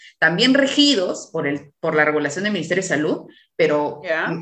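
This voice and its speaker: Fairly quick, lively speech from a woman with a normal speaking voice, pitched fairly low. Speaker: podcast host, obstetrician. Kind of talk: casual interview.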